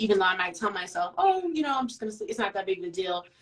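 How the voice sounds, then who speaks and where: There is noticeable background noise behind the woman speaking. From grew up moving around as an army child. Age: 30s. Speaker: dating show contestant. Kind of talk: interview. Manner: direct, blunt.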